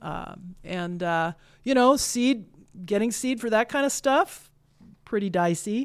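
Over a very clean recording with a silent background, a woman with an American accent speaks fairly slowly, her intonation lively. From Kansas. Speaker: director of a prairie research center. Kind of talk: casual interview.

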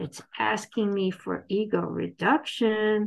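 This is a woman talking. Her voice is at a medium pitch. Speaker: twelve-step meeting speaker. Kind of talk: recovery talk / testimony. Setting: video call. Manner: animated.

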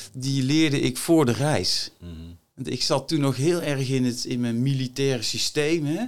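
Talking at a fairly slow pace, a man has a normal speaking voice, medium in pitch with ordinary pitch variation. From Netherlands, North Brabant. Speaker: former marine officer, entrepreneur and author. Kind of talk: interview conversation. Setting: studio.

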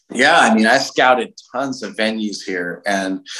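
In a Californian accent, the speaker talks at a very slow pace with a bright, sharp tone and fairly even intonation. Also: man. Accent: American (Californian). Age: 40s. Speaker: heavy metal singer, bassist and festival promoter. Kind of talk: interview conversation.

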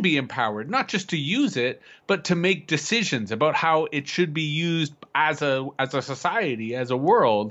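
This is a normal speaking voice with a Canadian accent. The intonation is lively and the pace moderate. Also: man. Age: 40s. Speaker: futurist and public speaker. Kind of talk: casual conversation.

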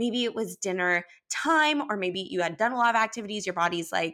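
This is a woman speaking. She has a Californian accent. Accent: Californian American. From Los Angeles, US. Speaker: holistic wellness coach. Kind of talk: casual interview chat.

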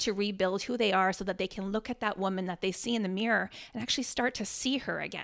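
Fairly even in intonation, an unremarkable speaking voice comes through with a Canadian accent. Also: woman. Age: 40s. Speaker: fitness coach and speaker. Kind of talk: casual chat. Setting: home kitchen studio.

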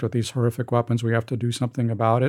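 The intonation stays monotone and flat. The recording is very clean with a silent background. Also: man. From Soviet Union. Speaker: foreign policy author and think tank fellow. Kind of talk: interview discussion.

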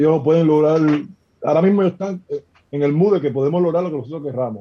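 A man speaks at a fairly quick pace in a fairly high pitch. His tone is dark and mellow. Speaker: professional basketball player. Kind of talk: casual chat.

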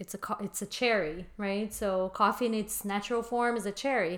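With a Portuguese accent, a woman speaks at a fairly high pitch with ordinary pitch variation. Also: very clean recording, silent background. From Brazil. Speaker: coffee shop owner. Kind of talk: interview.

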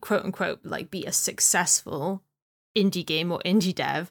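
Recorded very cleanly with a silent background and a dry, close sound with no echo, a plain, everyday voice moves at a moderate pace. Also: woman. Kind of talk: casual chat.

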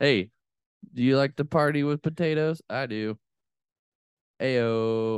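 This man's pace is very slow, broken by long, frequent pauses, his medium pitch moving with ordinary variation. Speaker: podcast host. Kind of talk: casual chat. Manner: animated.

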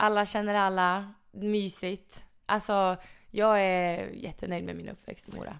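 In a very clean recording with a silent background, a woman speaks at a fairly slow pace. Her medium-pitched voice is monotone and flat in intonation, with big swings in loudness. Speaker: floorball player. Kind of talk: casual interview.

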